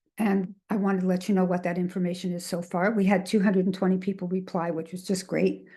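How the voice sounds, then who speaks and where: In a Canadian accent, a woman speaks at a very fast pace and medium pitch with monotone, flat intonation. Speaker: registered dietitian, webinar presenter. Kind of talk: webinar presentation. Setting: online webinar. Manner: halting, with fillers and repetitions.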